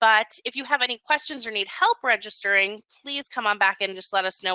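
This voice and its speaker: A bright, sharp, upbeat and enthusiastic tone at a fairly quick pace, with ordinary pitch variation and a dry, close sound with no echo. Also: woman. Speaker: webinar host. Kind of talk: sales pitch. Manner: fast; upbeat, enthusiastic.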